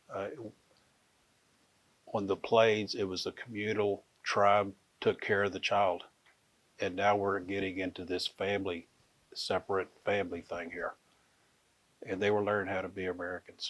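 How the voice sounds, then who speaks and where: A man with a Texan accent and a fairly low pitch speaks in a relaxed tone at a moderate pace, his monotone, flat intonation broken by long, frequent pauses on a very clean recording with a silent background. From Fort Worth, Texas. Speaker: Comanche storyteller. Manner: relaxed, conversational.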